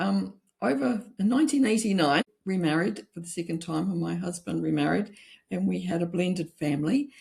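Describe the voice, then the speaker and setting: Using a New Zealand accent, a woman speaks with lively intonation, a fairly low pitch and vocal fry. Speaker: author. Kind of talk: interview.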